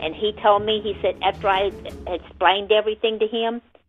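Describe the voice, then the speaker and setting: A woman talks at a fairly quick pace. She has a Southern US accent. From Florida. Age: 60s. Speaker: family member of murder victims. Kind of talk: radio interview.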